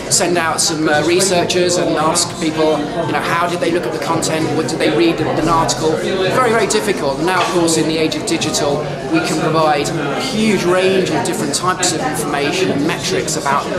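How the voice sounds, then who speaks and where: A man speaks at a fairly quick pace over loud background noise. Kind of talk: interview answer. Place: hall.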